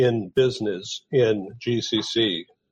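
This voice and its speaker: A man's somewhat breathy voice. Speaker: talk radio host. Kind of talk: interview.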